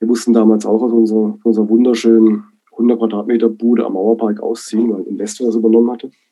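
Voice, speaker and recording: Very fast and monotone, a man speaks with a flat intonation at a medium pitch. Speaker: DJ and producer. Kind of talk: interview. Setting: video call. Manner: hesitant, many fillers.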